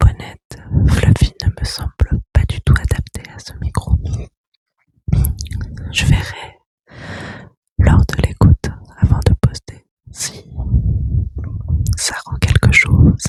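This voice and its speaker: Whispering at a very slow pace, a woman leaves long, frequent pauses, with big swings in loudness in a dry, close sound with no echo. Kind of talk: ASMR whispering to listener. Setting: close microphone, high gain. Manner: whispered, soft-spoken.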